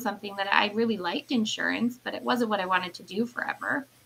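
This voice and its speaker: Very fast speech from a woman, fairly high-pitched, ordinary pitch variation, noticeable background noise behind her. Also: big swings in loudness. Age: 30s. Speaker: business owner. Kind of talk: casual chat.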